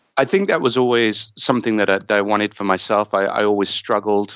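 In an English accent, a man talks with fairly low pitch and fairly even intonation, the sound dry and close with no echo. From England. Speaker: author and therapist. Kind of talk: interview. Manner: halting, with frequent repetitions.

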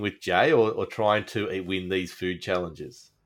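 A man speaks at a moderate pace in an Australian accent, recorded very cleanly against a silent background. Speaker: podcast host. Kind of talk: casual chat.

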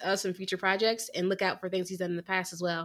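A woman with a Southern US accent speaks at medium pitch in an animated, bright, sharp tone. The recording is very clean with a silent background. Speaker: film review podcast co-host. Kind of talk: casual chat.

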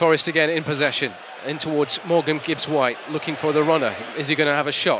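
A man talks at a very fast pace in a fairly high pitch. Crowd noise fills the background. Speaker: hospital radio football commentator. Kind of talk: live play-by-play football commentary, reacting to fouls and cards as they happen. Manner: excitable and quickening on big moments, emphatic on cards and saves; conversational with frequent fillers and repeated words.

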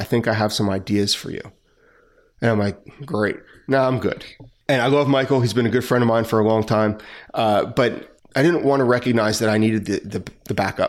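A man's plain, everyday voice at medium pitch, with an American accent, fairly even intonation and a fairly quick pace, on a very clean recording against a silent background. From New Jersey. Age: 40s. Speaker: retired police officer. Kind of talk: interview.

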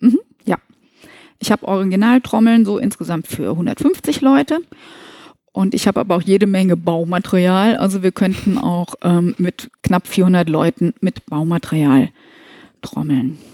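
A woman talks with lively intonation and a dark, mellow tone. She leaves long, frequent pauses. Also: medium pitch for a woman, fairly slow pace, dry, close sound with no echo. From northern Hesse, Germany (Kassel). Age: 50s. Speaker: movement trainer for senior care staff. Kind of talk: interview.

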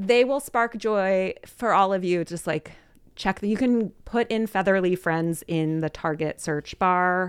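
A woman with a plain, everyday voice at medium pitch, fairly slow with ordinary pitch variation, against a quiet background. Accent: American. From Philadelphia, US. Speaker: storytelling coach. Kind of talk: casual chat.

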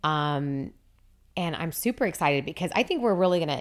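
The woman's voice shows ordinary pitch variation. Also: very clean recording, silent background. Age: 40s. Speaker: podcast co-host and friend. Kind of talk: casual chat.

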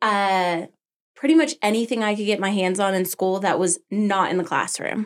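A woman with an American accent speaks in a plain, everyday voice, pitched medium with ordinary pitch variation. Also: moderate pace. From Arizona (Tucson), then Colorado. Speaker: small business owner. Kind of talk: interview.

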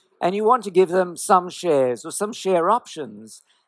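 Here a man speaks in a British accent, his voice high for a man. He keeps a moderate pace. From UK. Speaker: startup founder and CEO. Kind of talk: talk to a live audience.

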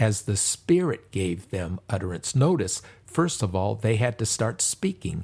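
A man speaks at a fairly slow pace in a somewhat breathy voice, on a very clean recording with a silent background. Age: 70s. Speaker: pastor. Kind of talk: sermon.

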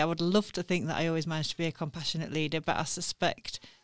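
A woman's fairly low voice with a South Yorkshire accent, on a very clean recording with a silent background. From Sheffield, northern England. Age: 40s. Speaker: newspaper editor. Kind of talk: interview. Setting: studio.

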